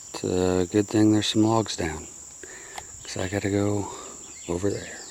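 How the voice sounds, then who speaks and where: A man's fairly low voice at a moderate pace, flat and monotone, over noticeable background noise. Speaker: hunter and outdoor vlogger. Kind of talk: casual vlog narration. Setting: outdoors.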